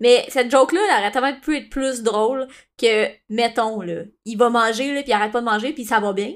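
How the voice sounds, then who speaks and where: A woman with a Quebec accent talks at a fairly quick pace in a high voice with ordinary pitch variation on a very clean recording with a silent background. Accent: Québécois French. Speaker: podcast co-host. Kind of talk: casual chat.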